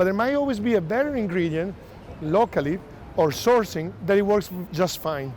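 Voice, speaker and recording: Using lively intonation and a moderate pace, a man talks with an Italian accent. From Italy. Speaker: chef. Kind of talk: hosted dinner presentation. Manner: casual, conversational.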